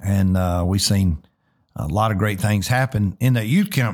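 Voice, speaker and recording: In a very clean recording with a silent background, a man with a Southern US accent speaks at a moderate pace, his fairly low voice showing ordinary pitch variation. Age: 50s. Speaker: pastor and podcast host. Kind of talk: casual interview.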